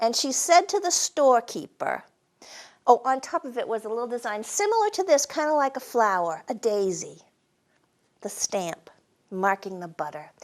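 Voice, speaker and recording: With a New England accent, a woman speaks at a moderate pace in a high pitch. Her pitch swings very widely, and her loudness rises and falls sharply. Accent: New England Yankee, drops R's. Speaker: storyteller and humorist. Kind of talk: storytelling performance. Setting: stage with live audience.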